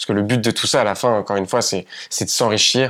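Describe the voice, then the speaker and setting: Delivery is very fast and flat, with a monotone intonation. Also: man. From France, Paris region countryside. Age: 20s. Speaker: entrepreneur. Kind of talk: casual interview chat.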